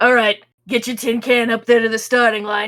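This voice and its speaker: A female-sounding, put-on character voice is raspy and fairly high. It stays monotone and flat at a fairly quick pace. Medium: actual play. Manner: amused, wry.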